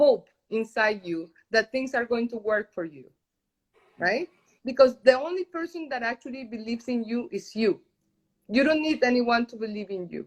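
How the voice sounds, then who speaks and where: In a Spanish accent, a woman speaks at a high pitch with lively intonation and big swings in loudness. Her pace is moderate, broken by long, frequent pauses. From Colombia. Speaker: journalist and entrepreneur. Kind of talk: interview. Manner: halting.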